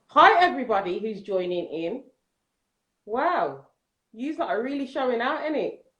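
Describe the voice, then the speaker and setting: A woman with a London accent speaks in a high voice whose pitch swings very widely. She keeps a moderate pace with long, frequent pauses. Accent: London English (Multicultural London English). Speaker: nursery manager. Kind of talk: casual chat. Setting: Instagram Live video stream. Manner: loud.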